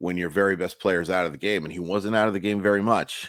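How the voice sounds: Raspy and fairly bright in tone, a man speaks at a low pitch.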